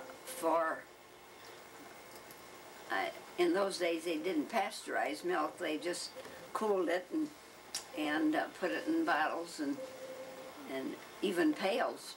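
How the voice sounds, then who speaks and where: A woman with an American accent, very slow pace, long and frequent pauses and very wide pitch swings, over noticeable background noise. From Michigan, USA. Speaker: oral history interviewee. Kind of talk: oral history interview answer. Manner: hesitant, reminiscing. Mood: warm reminiscing. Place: home room.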